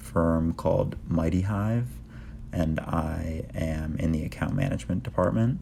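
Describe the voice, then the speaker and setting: With an American accent, a man talks in a very deep, low voice amid audible room echo. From Minnesota, Minneapolis. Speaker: lifestyle and fitness vlogger. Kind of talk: vlog narration. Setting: outdoors, backyard; at home, apartment.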